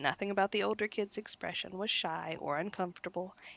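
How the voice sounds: A natural reading voice carries this clip.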